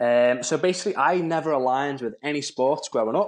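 Over a quiet background, a man with an unremarkable speaking voice talks at a fairly quick pace and medium pitch with ordinary pitch variation. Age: 20s. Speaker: personal trainer. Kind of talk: casual interview.

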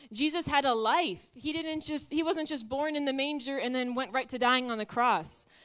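A woman with a high-pitched voice speaks loudly on a very clean recording with a silent background. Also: ordinary pitch variation, moderate pace. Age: 20s. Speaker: guest preacher. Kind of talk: sermon. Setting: church.

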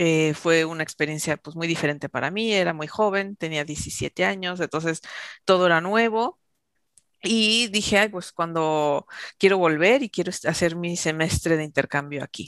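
An ordinary speaking voice from a woman, fairly low in pitch with ordinary pitch variation, at a moderate pace, dry and close with no echo against a quiet background. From Mexico. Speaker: intercultural trainer. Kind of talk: interview.

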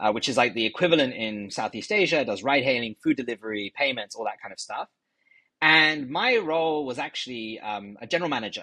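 A man's bright, sharp voice in a London accent, fairly quick and lively in intonation. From London, England. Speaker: tech company executive. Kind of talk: interview.

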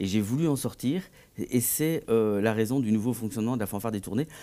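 A man's dark, mellow tone comes with ordinary pitch variation. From Belgium, Tournai (Wallonia). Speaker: composer and conductor. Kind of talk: TV interview. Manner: hesitant, with many fillers and repetitions.

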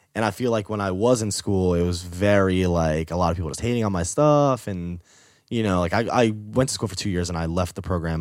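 Over a very clean recording with a silent background, a man with an American accent talks at a very fast pace in a very deep, low pitch with ordinary pitch variation. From New York. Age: 20s. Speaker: touring photographer. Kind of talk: casual chat. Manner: animated.

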